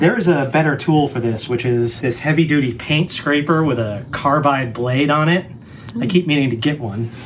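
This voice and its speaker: A man talks at a moderate pace, his pitch fairly high. Noticeable noise sits in the background. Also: ordinary pitch variation. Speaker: woodworking video maker. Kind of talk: casual build tutorial.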